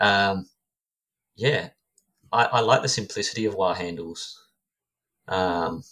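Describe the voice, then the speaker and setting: Speaking with an Australian accent, a man with a fairly low pitch and a bright, sharp tone moves at a fairly slow pace with ordinary pitch variation and long, frequent pauses. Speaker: knife maker. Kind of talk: casual chat. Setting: video call.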